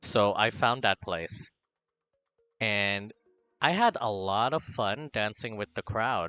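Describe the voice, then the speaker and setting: A man's fairly low-pitched, bright, sharp voice at a very slow pace with long, frequent pauses, in a dry, close sound with no echo and a quiet background. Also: ordinary pitch variation. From Philippines. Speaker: vtuber streamer. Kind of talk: casual chat. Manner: animated; halting.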